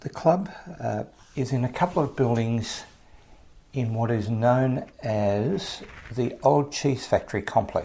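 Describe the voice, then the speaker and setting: A man with an Australian accent speaks at a fairly slow pace with a medium pitch, a dark, mellow, somewhat breathy tone, lively intonation and long, frequent pauses. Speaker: podcast host. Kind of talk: podcast intro monologue. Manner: casual, friendly.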